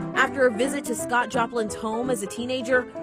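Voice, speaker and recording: A woman speaks in a high voice with music playing in the background. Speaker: TV news anchor and reporter. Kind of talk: feature story voiceover narration.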